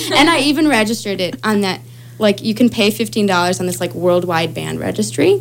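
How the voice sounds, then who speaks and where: With noticeable background noise behind her, a woman with an American accent speaks at a moderate pace in a medium pitch, swinging very widely up and down. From Chicago. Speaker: singer-songwriter. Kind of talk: casual chat. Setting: studio.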